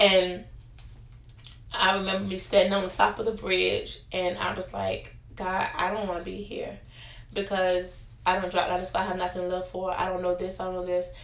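The speaker has an American accent and a moderate pace. Audible room echo surrounds the voice. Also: woman. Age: young. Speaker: podcast guest sharing personal story. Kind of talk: testimony.

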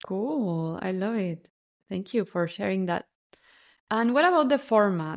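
Over a quiet background, the speaker goes at a fairly slow pace with lively intonation and long, frequent pauses. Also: woman, medium pitch for a woman. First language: not English. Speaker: podcast host. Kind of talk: casual interview chat.

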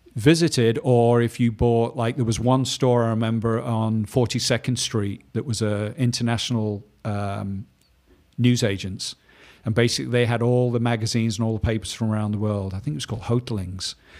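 Speaking at a fairly quick pace, a man holds a medium pitch and fairly even intonation. The recording is very clean, with a silent background. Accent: English. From northern England, Manchester. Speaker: painter and former fashion illustrator. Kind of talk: casual interview.

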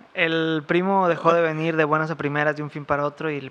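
A man speaks in a Mexican accent. His pitch is fairly high and his intonation monotone and flat. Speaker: podcast co-host. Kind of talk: storytelling. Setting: at home.

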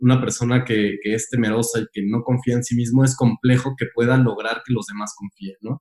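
Speaking with a Mexican accent at a medium pitch, a man talks at a fairly quick pace with hardly any pauses and monotone, flat intonation, in a dry, close sound with no echo. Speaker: podcast host. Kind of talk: interview.

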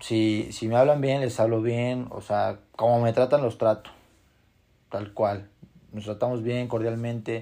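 A man's medium-pitched voice with a Mexican accent, dark and mellow in tone, flat and monotone, fairly slow, against a quiet background. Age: 20s. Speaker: podcast host. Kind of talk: motivational monologue.

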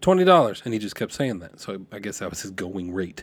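A man's pitch swings very widely as he talks at a fairly quick pace in a very clean recording with a silent background. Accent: American. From California (Lompoc, central coast). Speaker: podcast host. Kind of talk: storytelling monologue. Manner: casual, filler-heavy with repetitions.

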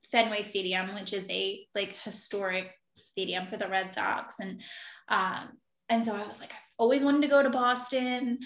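A woman with a Philadelphia accent speaks at a fairly slow pace, her pitch rising and falling in an ordinary way. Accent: Philadelphia-area American. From South Jersey, near Philadelphia. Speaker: travel writer. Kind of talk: casual interview chat.

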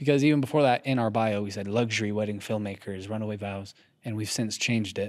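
On a very clean recording with a silent background, a man with a fairly low voice speaks very fast with fairly even intonation. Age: 20s. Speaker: podcast co-host. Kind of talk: casual chat. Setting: echoey garage studio.

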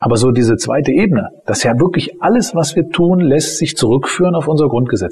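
Fairly quick, lively intonation in a normal speaking voice. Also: man. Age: 40s. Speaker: criminal defense lawyer. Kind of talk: interview. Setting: office.

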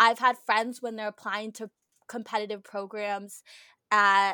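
A woman with a fairly high pitch and a bright, sharp tone comes across dry and close with no echo, on a very clean recording with a silent background. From New Jersey. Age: 20s. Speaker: college student podcast co-host. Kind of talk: casual chat.

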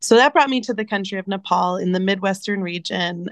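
A woman speaks with a New Jersey accent. The sound is dry and close with no echo, over a quiet background. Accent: American, New Jersey. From US, New Jersey. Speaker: nonprofit founder and charity CEO. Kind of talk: interview.

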